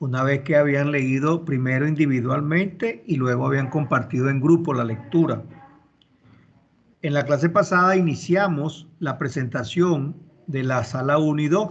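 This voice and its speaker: Fairly slow delivery from a man with a fairly high pitch, ordinary pitch variation, and audible room echo. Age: 60s. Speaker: university law professor. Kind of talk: online class lecture. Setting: video call.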